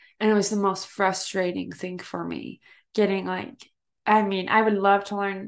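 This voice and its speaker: The speaker talks with an American accent. The pace is moderate. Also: woman, medium pitch for a woman. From United States. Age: 20s. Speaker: podcast host. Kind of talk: casual interview chat. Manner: animated.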